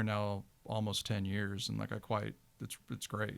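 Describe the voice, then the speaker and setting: In an American accent, a man with a fairly low pitch speaks at a moderate pace on a very clean recording with a silent background. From Texas, Dallas. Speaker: film producer. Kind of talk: casual chat. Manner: hesitant, many fillers.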